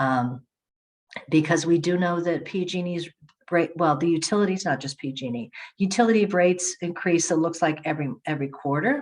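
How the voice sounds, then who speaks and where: This woman's voice sits fairly low. She speaks at a fairly quick pace with ordinary pitch variation. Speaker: community energy agency representative. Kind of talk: webinar presentation. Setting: online webinar. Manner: hesitant, with fillers and self-corrections.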